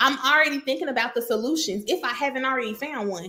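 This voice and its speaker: Raising and projecting her high-pitched voice, a woman talks at a fairly quick pace in an animated tone with lively intonation. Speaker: executive assistant. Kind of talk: casual talking-head advice video. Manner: fast.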